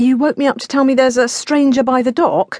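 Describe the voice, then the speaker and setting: Putting on a growling character voice, a woman speaks high in pitch at a fairly quick pace. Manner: growling, annoyed.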